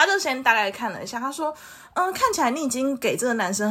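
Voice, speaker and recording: A woman speaks in a fairly high voice with very wide pitch swings. Vocal fry runs through her speech. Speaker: podcast co-host. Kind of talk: casual chat.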